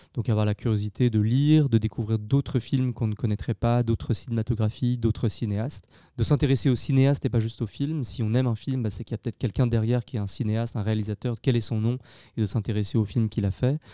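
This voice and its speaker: At a very fast pace, a man speaks in a medium pitch with a dark, mellow tone and fairly even intonation, the sound dry and close with no echo on a very clean recording with a silent background. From France, Lyon. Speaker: film director and producer. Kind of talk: interview. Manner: halting, many hesitations.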